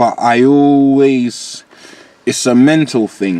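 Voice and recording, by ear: Speaking slowly in a dark, mellow tone, a man keeps a medium pitch with ordinary variation.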